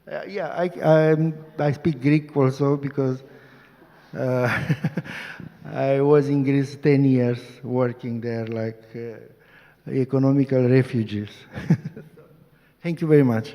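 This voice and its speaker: In a Romanian accent, a man speaks at a very slow pace with long, frequent pauses, a medium pitch and fairly even intonation. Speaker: activist lawyer. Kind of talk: panel discussion. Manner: halting.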